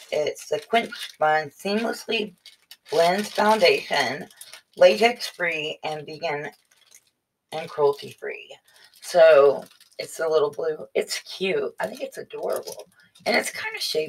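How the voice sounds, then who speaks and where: A woman speaks at a very slow pace with long, frequent pauses. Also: big swings in loudness. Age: 40s. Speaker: beauty vlogger. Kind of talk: casual unboxing vlog. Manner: chatty. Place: home room. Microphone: webcam.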